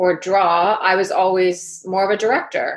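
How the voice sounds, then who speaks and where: A woman with an American accent, monotone and flat in intonation, at a fairly slow pace against a quiet background. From US Northeast, Connecticut and Manhattan. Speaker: leadership coach. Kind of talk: casual interview chat.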